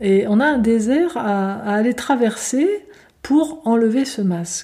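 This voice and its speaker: Recorded very cleanly against a silent background, a woman speaks at a fairly high pitch in a gentle, dark, mellow tone that is somewhat breathy. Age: 50s. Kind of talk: spiritual talk. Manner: halting.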